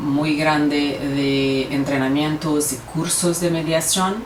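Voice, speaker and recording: Speaking very slowly with a Brazilian accent, a woman with a very deep, low pitch and fairly even intonation is heard through audible room echo and noticeable background noise. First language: Portuguese (speaking Spanish). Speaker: lawyer and mediator. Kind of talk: conference talk. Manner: halting, with fillers and self-corrections.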